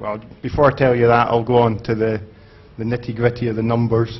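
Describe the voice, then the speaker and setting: A man with a Scottish accent speaks at a medium pitch, somewhat breathy and monotone, flat in intonation. Room echo is audible. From Scotland. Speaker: conference speaker. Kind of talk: conference talk. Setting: stage with audience. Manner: halting, many fillers.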